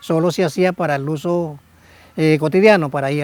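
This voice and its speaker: Speaking at a moderate pace with fairly even intonation, a man has a fairly high pitch and an ordinary speaking voice. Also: very clean recording, silent background. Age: 60s. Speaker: hat weaver artisan. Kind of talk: interview.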